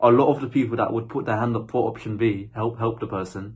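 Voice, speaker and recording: A man with a British accent, somewhat breathy and medium in pitch, at a fairly quick pace with fairly even intonation. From UK. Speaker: spiritual vlogger. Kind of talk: casual monologue. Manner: halting.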